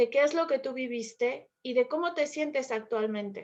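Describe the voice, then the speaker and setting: A woman with a Mexican accent speaks at a fairly slow pace in a high pitch, using ordinary pitch variation. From Mexico. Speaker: Spanish teacher. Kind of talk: conversational debate. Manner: fluent, articulate.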